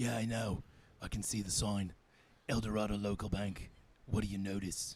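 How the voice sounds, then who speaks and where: Putting on a character voice, a man speaks raspy and fairly low in pitch, monotone and flat, at a moderate pace. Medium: comedy sketch. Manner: pompous, rambling.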